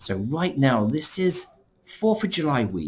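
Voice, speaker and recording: With an English accent, a man is talking. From England. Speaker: vacation club representative. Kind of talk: screen-share tutorial. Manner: casual, conversational.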